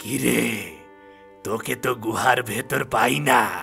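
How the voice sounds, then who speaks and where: A man performs a cartoonish character voice at a medium pitch, sounding raspy. Music plays clearly in the background. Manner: prying, questioning.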